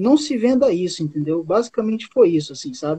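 The man's voice is high in pitch. His intonation moves in a lively way. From Amazonas, Brazil (Boca do Acre). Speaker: comic artist and songwriter. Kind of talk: casual chat.

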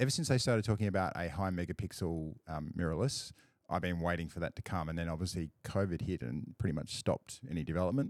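A very deep, low male voice in an Australian accent, with ordinary pitch variation and a dry, close sound with no echo on a very clean recording with a silent background. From rural Australia. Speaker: photographer. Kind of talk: casual chat. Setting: studio.

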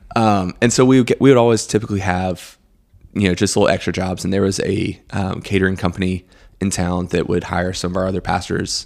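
In a very clean recording against a silent background, a man with an American accent speaks at a very deep, low pitch. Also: fairly even intonation, fairly quick pace. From Greenville, South Carolina. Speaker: coffee shop owner. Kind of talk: casual chat.

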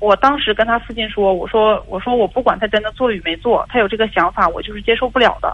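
A woman's fairly high voice at a very fast pace, with ordinary pitch variation and hardly any pauses. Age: 20s. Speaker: caller. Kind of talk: phone-in account. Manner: halting.

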